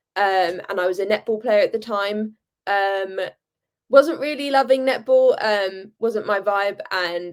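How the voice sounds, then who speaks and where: A woman with a British accent, medium pitch and ordinary pitch variation at a fairly slow pace. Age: young. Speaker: handball player. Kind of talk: interview.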